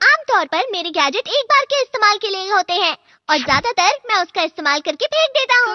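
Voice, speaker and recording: The speaker uses a cartoonish character voice at an extremely high pitch, with very wide pitch swings. The pace is fairly quick, with hardly any pauses. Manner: firm.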